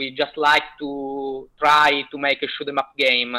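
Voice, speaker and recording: This speaker has an Italian accent. The pace is very slow. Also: man. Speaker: indie game developer. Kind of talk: interview. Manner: halting, many fillers.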